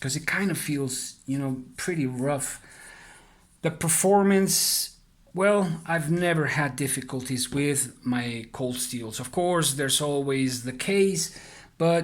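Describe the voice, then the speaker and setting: At a very slow pace, a man with a non-native accent speaks with a fairly high pitch and ordinary pitch variation. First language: not English. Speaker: knife reviewer. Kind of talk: product review. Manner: halting, many fillers; casual.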